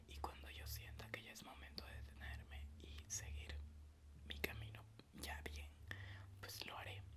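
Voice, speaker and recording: Noticeable background noise surrounds a man with a very deep, low voice. His pitch varies in an ordinary way. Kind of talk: casual ASMR talk to camera, reflective. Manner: soft-spoken, whispering.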